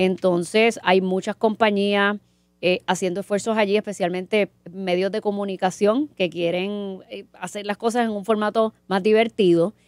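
Against a quiet background with dry, echo-free sound, a woman of medium pitch talks at a moderate pace in a flat, monotone way. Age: 40s. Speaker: marketing professor. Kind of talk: casual chat. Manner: halting, with many repetitions. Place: studio. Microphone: studio mic.

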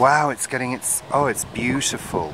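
Noticeable background noise sits behind a man speaking at a fairly slow pace, the sound dry with no echo. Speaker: gardening vlogger filming. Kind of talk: casual vlog chat. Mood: delighted, admiring. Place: garden. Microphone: phone near.

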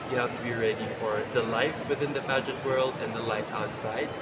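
A man keeps a fairly quick pace while loud background noise plays. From Philippines. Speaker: male pageant titleholder. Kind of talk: casual interview. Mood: cheerful, smiling. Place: shop. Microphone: phone near.

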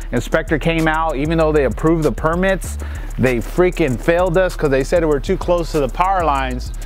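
Over faint music in the background, a man talks at a fairly quick pace with fairly even intonation in a dry sound with no echo. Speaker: pool contractor. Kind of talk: casual vlog chat. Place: open country.

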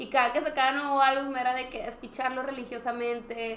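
A woman with a Mexican accent, high-pitched and very fast, amid audible room echo and light background noise. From Mexico. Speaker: podcast co-host. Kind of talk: casual chat. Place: studio.

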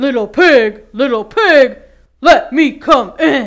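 Speaking at a fairly slow pace, a man puts on a character voice pitched extremely high. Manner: growling.

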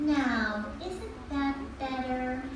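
A woman uses a cartoonish character voice with a high pitch and lively intonation, at a very slow pace. Audible room echo and clear background noise fill the recording.

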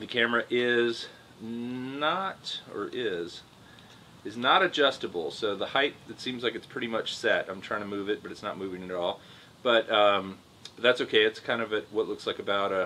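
A man speaks at a moderate pace with ordinary pitch variation, light background noise behind him. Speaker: drone reviewer. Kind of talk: product review commentary. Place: home room.

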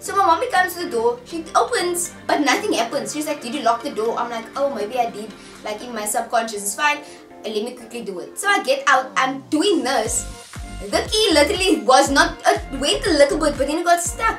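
In a room with audible echo and clear music behind her, a woman speaks at a high pitch, her loudness swinging widely. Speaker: vlogger. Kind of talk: casual vlog chat. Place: home room. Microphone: camera far.

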